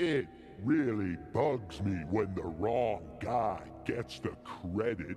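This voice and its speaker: Clear music plays behind a man whose pitch swings very widely as he speaks at a very slow pace. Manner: complaining, accusing, cranky.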